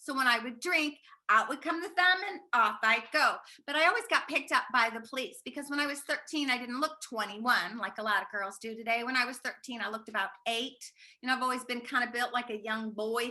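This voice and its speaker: A woman's high-pitched voice, fairly quick, with ordinary pitch variation. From US, moved around; teen years in New Orleans. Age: 60s. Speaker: recovering alcoholic sharing her story. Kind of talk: testimony.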